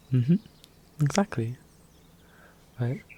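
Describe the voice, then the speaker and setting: Relaxed male speech against noticeable background noise. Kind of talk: soft-spoken ASMR roleplay talk to the viewer. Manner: soft, calming, relaxed.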